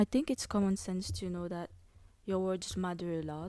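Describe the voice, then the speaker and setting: A woman with a non-native accent speaks at a medium pitch in a dark, mellow tone, captured in a very clean recording with a silent background. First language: not English. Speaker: podcast host. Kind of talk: casual solo podcast monologue. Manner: casual, hesitant with fillers.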